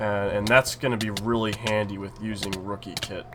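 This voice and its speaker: A man with a fairly low voice speaks at a moderate pace while music plays in the background. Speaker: gaming YouTuber. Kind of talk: gameplay commentary. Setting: home recording. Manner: casual, many fillers.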